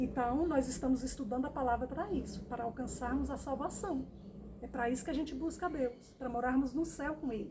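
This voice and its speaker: A woman's high-pitched voice with a warm tone, ordinary pitch variation and a fairly quick pace, over noticeable background noise. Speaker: Bible teacher. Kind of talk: Bible study. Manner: warm, repetitive addressing.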